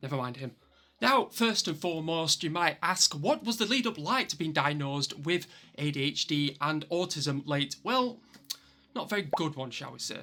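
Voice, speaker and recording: In a Yorkshire accent, a man speaks at a fairly high pitch and a moderate pace with a bright, sharp tone and lively intonation, in a very clean recording with a silent background. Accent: broad Yorkshire. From Yorkshire, northern England. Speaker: vlogger. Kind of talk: personal vlog monologue.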